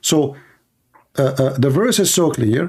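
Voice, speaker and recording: This man's voice is somewhat breathy and fairly high, with lively intonation. The recording is very clean, with a silent background. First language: Arabic. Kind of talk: heated debate. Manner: animated.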